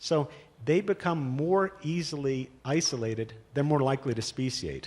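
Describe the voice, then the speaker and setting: Speaking with a New York accent, a man uses a fairly high pitch with ordinary pitch variation. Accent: New York American English. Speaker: paleontology professor. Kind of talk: panel discussion answer. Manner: fast.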